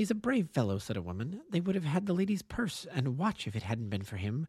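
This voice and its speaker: A somewhat breathy man's voice swings very widely in pitch, captured in a very clean recording with a silent background. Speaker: amateur audiobook narrator. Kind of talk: audiobook narration, read aloud. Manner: measured, storytelling pace, voicing characters in dialogue.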